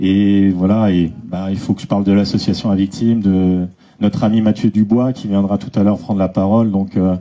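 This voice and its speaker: A man speaks with a dark, mellow tone at a fairly low pitch. His pace is moderate and his intonation monotone and flat. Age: 40s. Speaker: association vice-president. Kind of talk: public speech. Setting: association gathering with audience. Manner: hesitant, many fillers.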